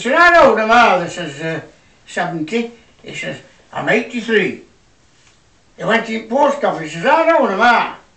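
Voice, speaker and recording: A man with a Yorkshire accent uses a raised, projected voice at a high pitch, with a bright, sharp tone. His pitch swings very widely between long, frequent pauses, and audible room echo is present. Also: big swings in loudness. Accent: broad Yorkshire. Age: 80s+. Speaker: comedian. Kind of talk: stand-up.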